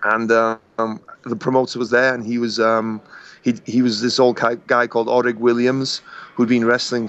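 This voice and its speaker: A man with a Welsh accent speaks at a moderate pace in a medium pitch, his intonation monotone and flat. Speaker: professional wrestler. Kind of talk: interview. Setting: podcast. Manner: halting.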